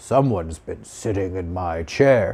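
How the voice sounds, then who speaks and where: Raspy and rumbling, a man's put-on character voice moves at a fairly slow pace with a very deep, low pitch and lively intonation. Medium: read story.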